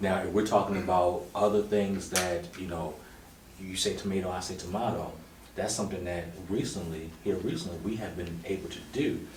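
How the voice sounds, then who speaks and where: Through audible room echo and noticeable background noise, a man with a very deep, low pitch speaks with fairly even intonation. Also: moderate pace. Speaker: married guest on couples podcast. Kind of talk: casual chat.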